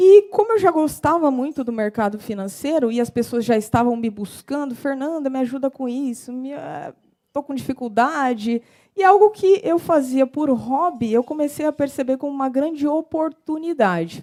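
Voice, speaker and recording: Her pitch high and tone dark and mellow, a woman speaks with a strong São Paulo interior accent and lively intonation. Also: moderate pace. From interior of São Paulo state, Brazil. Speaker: civil engineer and financial consultant. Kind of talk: short talk to an audience.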